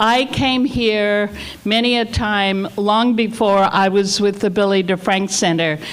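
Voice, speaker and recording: A woman speaks at a fairly slow pace and a medium pitch. There is noticeable background noise. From Australia. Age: 70s. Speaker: community center leader. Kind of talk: invocation speech at community meeting.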